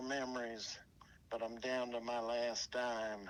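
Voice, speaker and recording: This man speaks with an American accent at a medium pitch. His delivery is very slow and monotone, with flat intonation. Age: 60s. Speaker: interviewee recalling past. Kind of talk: interview reminiscence. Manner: halting, many fillers.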